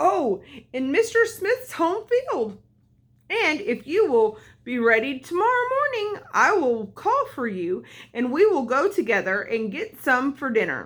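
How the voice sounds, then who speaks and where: A woman's put-on character voice, high in pitch, with very wide pitch swings. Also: fairly slow pace. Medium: read story. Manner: cunning.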